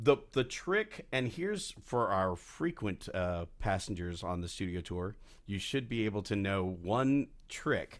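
In a very clean recording with a silent background, a man with an ordinary speaking voice, a fairly low pitch and an American accent talks at a fairly slow pace with lively intonation and hardly any pauses. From Texas. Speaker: tour guide and voiceover actor. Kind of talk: casual interview chat.

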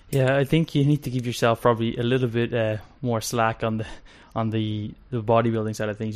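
A man at medium pitch and a fairly quick pace, an unremarkable speaking voice. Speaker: podcast host. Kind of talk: casual interview chat.

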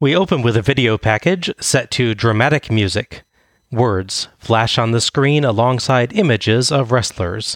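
An ordinary speaking voice, a man's medium-pitched delivery keeps very even loudness, ordinary pitch variation and a moderate pace, with a dry, close sound and no echo. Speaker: wrestling podcast host. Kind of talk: casual podcast chat, recap of wrestling event. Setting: in person recording.

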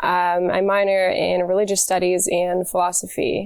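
A woman's medium-pitched voice at a fairly slow pace, in a very clean recording with a silent background. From York, Pennsylvania. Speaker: college student. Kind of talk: interview.

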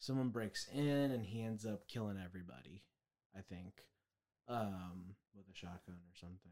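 With a dark, mellow tone and a fairly low pitch, a man talks at a moderate pace, his long, frequent pauses, ordinary pitch variation and big swings in loudness all clear. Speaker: podcast co-host. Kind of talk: casual chat.

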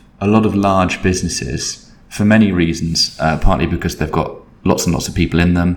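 A man with an English accent has a very deep, low pitch. He speaks at a moderate pace with fairly even intonation. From Britain. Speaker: creative agency consultant. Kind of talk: casual interview. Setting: office.

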